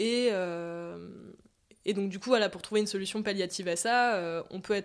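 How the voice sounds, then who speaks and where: A woman with a plain, everyday voice speaks at a fairly slow pace and medium pitch with fairly even intonation, in a very clean recording with a silent background. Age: 20s. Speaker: medical student. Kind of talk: casual interview.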